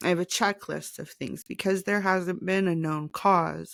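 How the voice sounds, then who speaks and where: The voice is shaky and monotone, with flat intonation. The recording is very clean, with a silent background and a dry, close sound with no echo. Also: woman. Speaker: podcaster. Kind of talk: casual personal podcast talk.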